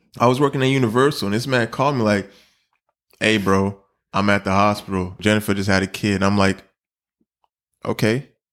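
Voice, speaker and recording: On a very clean recording with a silent background, a man with a fairly low pitch and ordinary pitch variation talks at a fairly quick pace with very even loudness and long, frequent pauses. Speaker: podcast host. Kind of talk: casual chat. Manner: animated.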